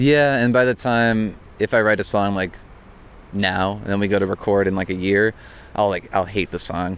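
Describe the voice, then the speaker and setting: At a moderate pace, a man in an American accent speaks with fairly even intonation and a fairly low pitch, a plain, everyday voice. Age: 20s. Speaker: punk rock singer and guitarist. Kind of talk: interview. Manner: casual, laughs often.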